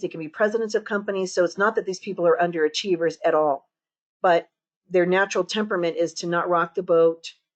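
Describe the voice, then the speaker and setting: A woman with a medium-pitched voice talks at a very fast pace with ordinary pitch variation over a quiet background. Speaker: home staging course instructor. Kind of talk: webinar lecture. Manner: naturally loud.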